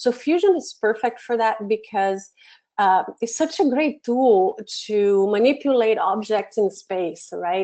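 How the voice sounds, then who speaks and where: A woman's fairly high voice with a dark, mellow tone and a Brazilian Portuguese accent, at a fairly slow pace with ordinary pitch variation, over a quiet background. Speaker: education program manager, webinar presenter; webinar presenter. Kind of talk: webinar tutorial. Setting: online webinar from home office. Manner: hesitant with many fillers. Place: home room.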